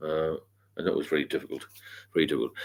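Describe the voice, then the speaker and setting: This is a man speaking. He has an American accent. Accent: British, remarked on by a US viewer. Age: 60s. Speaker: sobriety mentor and livestreamer. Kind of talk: casual live Q&A. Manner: hesitant, many fillers.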